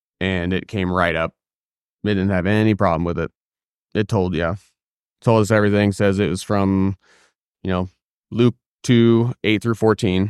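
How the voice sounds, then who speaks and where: A man at moderate pace and fairly low pitch, fairly even in intonation, with long, frequent pauses and a quiet background. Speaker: podcast host. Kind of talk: casual conversation about faith and technology. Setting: studio recording. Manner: not fluid, mumbles sometimes.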